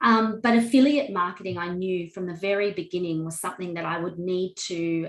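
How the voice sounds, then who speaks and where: Speaking with an Australian accent, a woman uses a fairly low pitch with ordinary variation. There is noticeable background noise. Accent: Australian twang. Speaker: wedding officiant and online course creator. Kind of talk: interview testimony.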